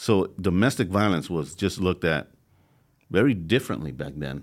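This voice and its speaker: The speaker has an American accent and vocal fry, with ordinary pitch variation at a moderate pace. The recording is very clean with a silent background. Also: man. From Los Angeles, California. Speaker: former gang leader, author. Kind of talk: interview testimony. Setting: studio.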